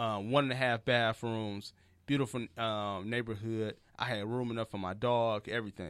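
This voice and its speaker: Fairly even in intonation, a man talks at medium pitch and a moderate pace. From Detroit, US Midwest. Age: 30s. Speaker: comedian and podcast host. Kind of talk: casual chat.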